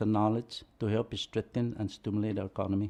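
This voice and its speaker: A man at medium pitch, fairly quick, with monotone, flat intonation and a dark, mellow tone. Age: 70s. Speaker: board appointee. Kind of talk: testimony at public hearing. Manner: formal.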